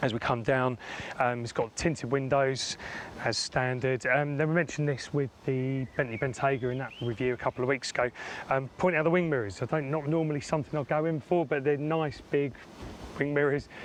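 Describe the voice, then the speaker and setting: A man with a British accent speaks at a fairly quick pace. His pitch is fairly high, and his intonation fairly even. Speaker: car reviewer. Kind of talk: product review walkaround. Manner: casual, frequent fillers.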